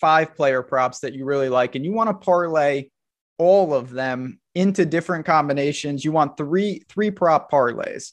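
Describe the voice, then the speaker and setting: Against a quiet background, a man talks at a moderate pace with a normal speaking voice, a fairly high pitch and ordinary pitch variation. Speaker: fantasy sports analyst. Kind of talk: casual sports podcast chat.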